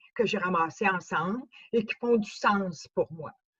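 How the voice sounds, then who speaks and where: In a Quebec accent, a woman speaks at a fairly slow pace with a somewhat breathy voice, medium pitch and ordinary pitch variation, in a dry, close sound with no echo. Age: 70s. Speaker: speaker with cochlear implant. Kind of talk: testimony. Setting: conference talk.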